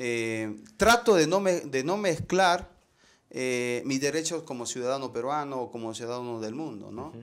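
The man speaks at a fairly slow pace with lively intonation. His loudness swings widely. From northern Peru, Chepén; northern Peru. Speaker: visual artist; interviewee. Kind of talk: interview. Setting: artist's studio. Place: workshop. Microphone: lapel.

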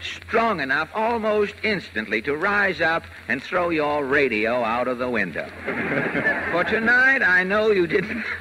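The speaker moves at a moderate pace with very wide pitch swings. Noticeable background noise is present. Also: man. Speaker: radio comedian and host. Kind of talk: live radio comedy interview. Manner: gruff but mostly cheerful.

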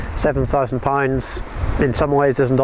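There is noticeable background noise, with a dry sound and no echo. A man is speaking. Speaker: community hydro scheme director. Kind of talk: interview. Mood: calm, friendly. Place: open country.

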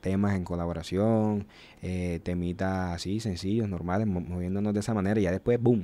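A man with an unremarkable speaking voice talks at a moderate pace, fairly low in pitch and fairly even in intonation. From Colombian Caribbean coast, small town. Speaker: rapper; podcast guest. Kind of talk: interview. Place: studio. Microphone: studio mic.

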